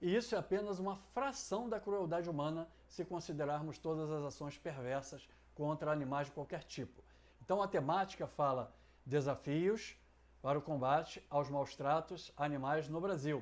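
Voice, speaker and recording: At a moderate pace, a man with an ordinary speaking voice talks at a fairly high pitch with ordinary pitch variation against a quiet background. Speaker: essay writing teacher. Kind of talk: tutorial.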